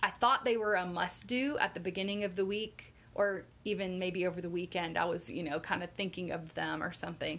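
A woman with an American accent speaks at a medium pitch in a bright, sharp tone with fairly even intonation. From Florida. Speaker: podcast co-host. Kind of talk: casual chat.

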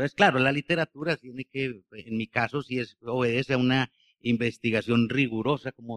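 Moderate pace and ordinary pitch variation from a man's medium-pitched voice. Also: dry, close sound with no echo. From Colombia, Bello (Antioquia). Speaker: novelist. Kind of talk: book presentation conversation. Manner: halting, frequent repetitions.

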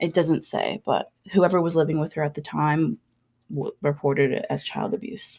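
Speaking at a moderate pace, a woman uses a very deep, low pitch with vocal fry and ordinary pitch variation. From Labrador, Canada. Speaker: podcast co-host. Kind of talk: true crime narration.

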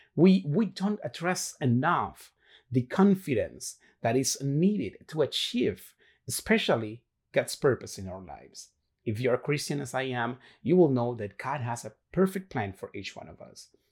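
With a Spanish accent, a somewhat breathy man speaks at a moderate pace at a fairly high pitch, his pitch swinging very widely and his loudness swinging greatly, on a very clean recording with a silent background. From Dominican Republic. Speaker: motivational podcaster. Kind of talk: motivational monologue. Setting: solo video recording.

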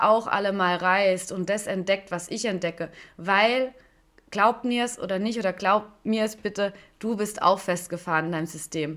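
A woman speaks in an unremarkable speaking voice at medium pitch, with ordinary pitch variation and a moderate pace. The recording is very clean, with a silent background. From Stuttgart, Swabia (southwest Germany). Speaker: podcast host and life coach. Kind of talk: solo podcast monologue.

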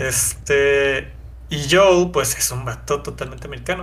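A man talks at a fairly slow pace in a Mexican accent. Room echo is audible. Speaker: gaming podcast co-host. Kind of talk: casual chat.

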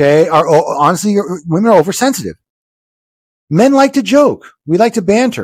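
A high-pitched man talks at a fairly quick pace in an animated tone, his pitch swinging very widely. His loudness stays very even, broken by long, frequent pauses. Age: 50s. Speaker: podcast co-host, lawyer. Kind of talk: casual chat.

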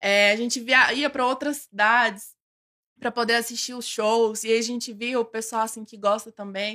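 This woman has a fairly high pitch and a bright, sharp tone, speaking at a moderate pace. Her intonation is monotone and flat, while her loudness swings widely. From Goiânia, Brazil. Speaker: K-pop fan club member, architect. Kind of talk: casual interview chat.

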